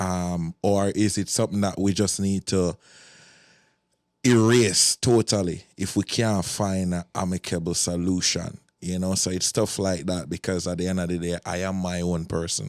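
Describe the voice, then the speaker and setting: A very deep, low-pitched man in a Jamaican accent, moderate pace, fairly even intonation, dry, close sound with no echo, and a very clean recording with a silent background. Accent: Jamaican English with patois. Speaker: soca event promoter and DJ. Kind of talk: casual podcast conversation.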